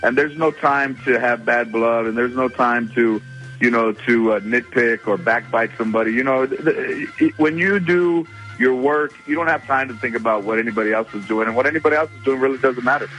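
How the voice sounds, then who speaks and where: Music plays in the background as a man with an American accent and a medium pitch speaks at a fairly quick pace with ordinary pitch variation. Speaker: comedian and actor. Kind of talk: radio phone interview answer. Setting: phone line. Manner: relaxed, conversational.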